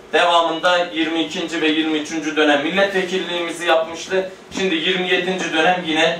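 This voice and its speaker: A man with a high pitch speaks at a moderate pace. Audible room echo and light background noise surround him. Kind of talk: formal speech. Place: hall.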